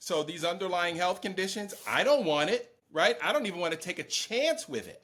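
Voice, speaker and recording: Speaking fairly quickly with hardly any pauses, a man with an American accent uses lively intonation in a high voice. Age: 60s. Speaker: podcast co-host. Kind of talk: casual political chat.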